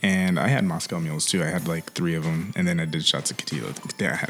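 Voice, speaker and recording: Noticeable background noise surrounds a man as he talks. His pitch swings very widely. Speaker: podcast host. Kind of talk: casual chat.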